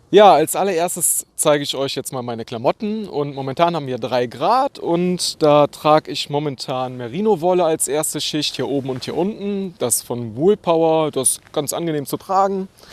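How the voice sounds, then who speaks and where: Barely pausing, a man with a fairly high pitch talks in lively intonation in a dry, close sound with no echo. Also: moderate pace. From Germany, Neuss (Rhineland). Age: 30s. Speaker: travel vlogger, cyclist. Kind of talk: casual gear walkthrough vlog. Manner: casual, hesitant with fillers.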